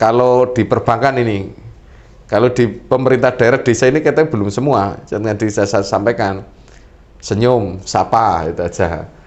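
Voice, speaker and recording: A man speaks in an unremarkable speaking voice at medium pitch, moving at a moderate pace with ordinary pitch variation. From Central Java, Purbalingga (Banyumas area). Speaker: government official, talk show resource person. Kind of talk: talk show explanation.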